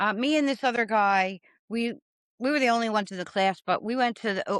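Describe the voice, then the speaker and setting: A woman with an American accent talks at a moderate pace with ordinary pitch variation. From Philadelphia, Pennsylvania. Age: 50s. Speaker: stand-up comedian. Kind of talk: casual interview. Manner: halting, many fillers.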